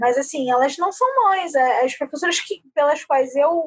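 A woman talks at a fairly slow pace. Her high voice carries lively intonation. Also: dry, close sound with no echo. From Rio de Janeiro, Brazil. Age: 20s. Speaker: university student. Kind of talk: casual chat.

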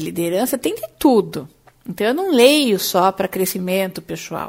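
Here a woman has an ordinary speaking voice at a medium pitch. She talks at a moderate pace with lively intonation. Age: 40s. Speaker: career coach and podcast host. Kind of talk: solo podcast monologue.

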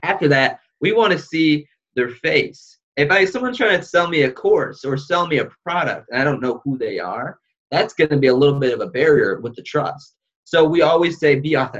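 An ordinary speaking voice, ordinary pitch variation and a fairly quick pace. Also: man, fairly high pitch for a man. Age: young. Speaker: video production entrepreneur. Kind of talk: podcast interview.

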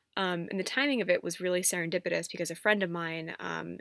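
The recording is very clean, with a silent background. A woman speaks at a fairly low pitch with ordinary pitch variation. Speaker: podcaster. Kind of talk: personal monologue.

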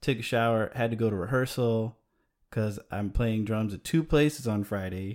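Speaking at a moderate pace, a man with an American accent has a normal speaking voice and a fairly low pitch. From Chicago. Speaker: video maker. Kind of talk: casual chat.

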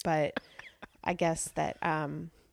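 Fairly even intonation with an American accent, in a very clean recording with a silent background. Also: woman. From central Washington, US. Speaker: theater teaching artist. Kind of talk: interview. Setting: host's apartment.

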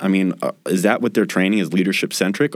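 A man with an Idaho accent and a very deep, low pitch, on a very clean recording with a silent background. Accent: American, Idaho. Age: 20s. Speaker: military podcast host, army officer. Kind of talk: interview podcast.

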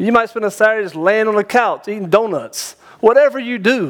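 With a Southern US accent, a man talks at a moderate pace in a high pitch. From North Carolina, small town. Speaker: pastor. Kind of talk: sermon. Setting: church.

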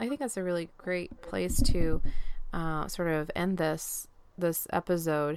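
A woman speaks slowly-ish in an American accent, at a fairly low pitch with ordinary pitch variation. Hers is an unremarkable speaking voice, at a fairly slow pace. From Pennsylvania, US. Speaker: ministry podcast team member. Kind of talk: faith testimony interview.

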